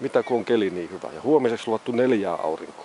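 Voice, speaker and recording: A man talks at a moderate pace. The sound is dry with no echo, with light background noise. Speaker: hiker vlogger. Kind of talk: casual vlog chat. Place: open country. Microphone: phone near.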